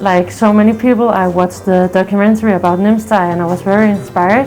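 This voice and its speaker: Over music in the background, a woman with a Danish accent speaks at a medium pitch and a fairly quick pace, with hardly any pauses. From Denmark. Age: 20s. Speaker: mountaineering client. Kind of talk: interview testimony.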